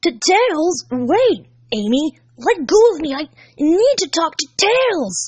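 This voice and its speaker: Someone uses a put-on character voice with very wide pitch swings at a fairly slow pace. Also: woman, extremely high pitch for a woman. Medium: read story.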